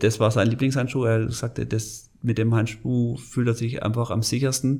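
Monotone and flat in intonation, a man talks at a medium pitch and a moderate pace. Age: 40s. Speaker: sports product manager. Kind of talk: interview. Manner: halting.

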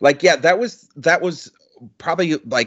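A man speaks at a moderate pace. Vocal fry runs through his voice. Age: 40s. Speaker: podcast co-host, album reviewer. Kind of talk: casual chat.

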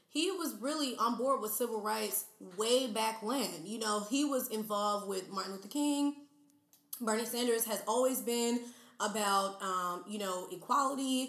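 Over noticeable background noise, a woman speaks at a moderate pace in a fairly high pitch with ordinary pitch variation. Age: 20s. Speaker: YouTuber, podcaster and flight attendant. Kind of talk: casual chat.

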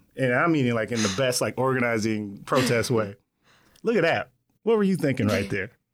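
With an ordinary speaking voice, a man at medium pitch talks at a fairly quick pace with lively intonation and very even loudness on a very clean recording with a silent background. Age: 30s. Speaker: podcast host. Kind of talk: interview. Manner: casual.

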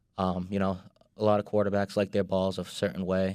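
This man, speaking with a Boston accent, has a fairly low pitch and a monotone, flat delivery at a fairly quick pace. The recording is very clean, with a silent background. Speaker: sports industry worker. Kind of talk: casual chat. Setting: studio.

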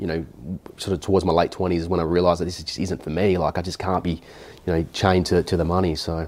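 Speaking with an Australian accent, a man has a very deep, low pitch. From South Australia, rural south coast near Adelaide. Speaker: buyer's agent, former electrician. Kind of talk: interview. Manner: halting, frequent repetitions.

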